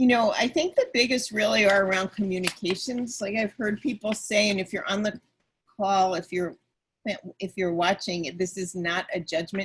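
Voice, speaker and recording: A woman at a medium pitch, somewhat breathy, with ordinary pitch variation and a moderate pace. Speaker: panelist. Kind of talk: webinar presentation.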